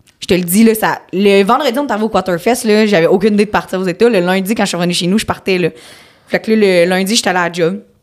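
A woman with a Quebec accent talks at a very fast pace, her medium pitch showing ordinary variation. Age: 20s. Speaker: barrel racer. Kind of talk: casual interview.

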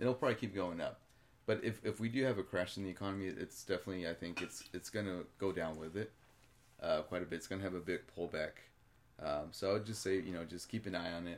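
Very fast and very deep, this man's low voice shows ordinary pitch variation. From Mexico. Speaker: cryptocurrency ATM business owner. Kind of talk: casual chat.

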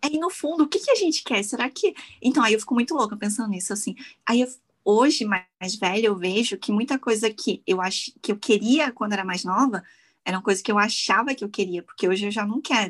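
At a fairly quick pace, a woman speaks with lively intonation and a fairly high, somewhat breathy voice. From Brazil, Petrópolis (Rio de Janeiro state). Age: 30s. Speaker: makeup artist and content creator. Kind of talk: casual chat.

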